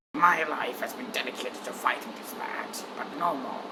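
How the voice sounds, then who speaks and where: Pitched in the middle range, this raspy, put-on character voice proceeds at a moderate pace. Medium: dub.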